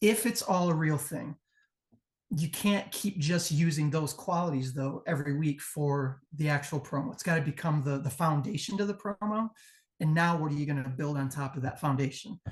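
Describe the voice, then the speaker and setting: Fairly high-pitched, somewhat breathy speech from a man. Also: ordinary pitch variation, moderate pace. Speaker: pro wrestling promo judge. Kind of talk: live judging critique.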